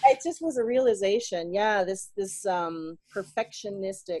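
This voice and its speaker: With an American accent, a woman speaks at medium pitch and a moderate pace in a plain, everyday voice. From US South (South Carolina). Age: 40s. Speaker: life coach and English teacher. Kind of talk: casual interview chat.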